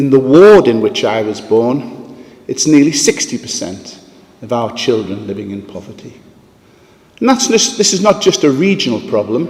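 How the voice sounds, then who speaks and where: With noticeable background noise, a man speaks at a moderate pace. His medium-pitched voice swings very widely in pitch. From northeast England, Sunderland. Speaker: philanthropist. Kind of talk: conference talk.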